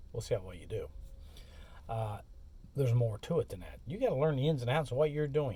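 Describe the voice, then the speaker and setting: A man with a dark, mellow tone at medium pitch talks very fast and somewhat breathily, with lively intonation, big swings in loudness and long, frequent pauses. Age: 60s. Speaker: courier and expedite driver, vlogger. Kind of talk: casual monologue vlog. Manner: casual, conversational.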